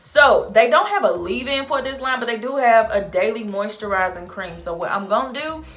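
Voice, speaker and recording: With music in the background and audible room echo, a woman speaks with a Southern US accent in a fairly high pitch and lively intonation. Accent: Southern drawl, sounds Texan to viewers. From St. Louis, Missouri (US Midwest, Southern culture). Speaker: beauty vlogger. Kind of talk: product review tutorial. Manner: casual, chatty.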